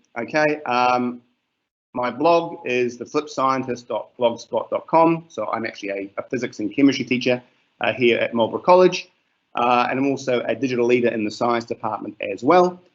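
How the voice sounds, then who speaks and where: A man with a New Zealand accent at a moderate pace. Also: medium pitch for a man, ordinary pitch variation. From New Zealand, Gisborne area. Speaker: teacher. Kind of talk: webinar presentation. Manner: hesitant, many fillers.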